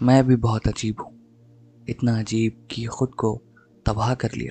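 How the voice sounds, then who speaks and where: This man's dark, mellow voice keeps a fairly even intonation. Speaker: voice-over artist. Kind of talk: podcast introduction.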